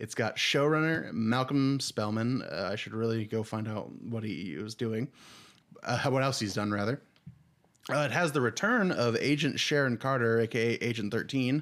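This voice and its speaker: A man with an ordinary speaking voice talks at a moderate pace, his medium pitch showing ordinary variation. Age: 20s. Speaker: podcast co-host. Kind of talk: casual chat.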